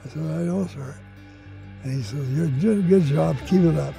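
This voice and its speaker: Faint music sits behind a man who speaks at a moderate pace, the sound dry with no echo. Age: old. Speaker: retired Air Force pilot, war veteran. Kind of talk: interview answer. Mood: fond, grateful recollection. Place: garden.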